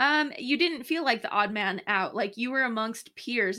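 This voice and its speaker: On a very clean recording with a silent background, a woman speaks at a moderate pace in a bright, sharp tone. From New Mexico. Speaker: dental hygienist, podcast co-host. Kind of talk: casual chat.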